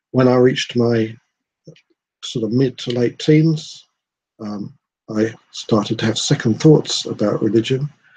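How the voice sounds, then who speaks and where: A somewhat breathy, dark and mellow tone at a moderate pace with fairly even intonation. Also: man. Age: 60s. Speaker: vlogger. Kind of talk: personal monologue. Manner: hesitant, with many fillers.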